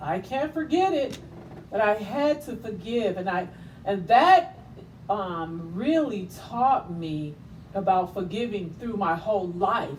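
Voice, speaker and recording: Against audible room echo, a woman with a medium pitch and lively intonation speaks at a very slow pace. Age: 60s. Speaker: talk show host and author. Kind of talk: inspirational monologue. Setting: livestream.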